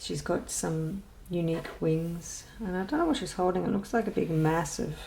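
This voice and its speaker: The pace is fairly slow. She is a woman with an Australian accent. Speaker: adult colouring hobbyist. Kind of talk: casual talk to camera.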